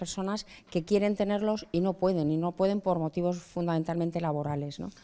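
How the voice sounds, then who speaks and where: A woman's voice carries a dark, mellow tone and fairly even intonation. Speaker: professor. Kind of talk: lecture-style interview.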